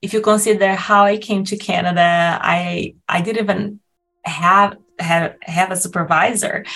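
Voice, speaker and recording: Her tone bright and sharp, a woman speaks at medium pitch in a monotone, flat intonation and at a fairly slow pace. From Brazil. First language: Portuguese. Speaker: nutrition professor. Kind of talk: interview.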